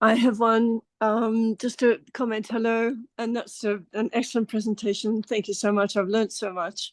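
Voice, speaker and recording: A woman with an Australian accent speaks at a moderate pace in a fairly high, monotone voice, barely pausing, with a dry, close sound and a quiet background. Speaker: webinar participant. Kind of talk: audience question.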